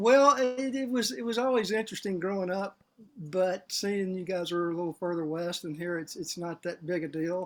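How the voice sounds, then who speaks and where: With a strong Southern accent, a man speaks at a moderate pace, high in pitch with ordinary pitch variation, in a very clean recording with a silent background. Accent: heavy Southern. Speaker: financial advisor. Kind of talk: casual chat.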